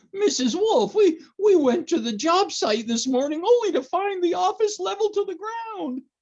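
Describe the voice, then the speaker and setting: Someone puts on a character voice at an extremely high pitch, talking at a moderate pace. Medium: audio drama. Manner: giggly, stammering.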